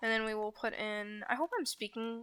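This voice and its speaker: Speaking at a moderate pace with a northern US accent, a woman has a fairly high pitch and a bright, sharp tone. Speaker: gaming YouTuber. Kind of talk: gameplay commentary. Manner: hesitant, many ums.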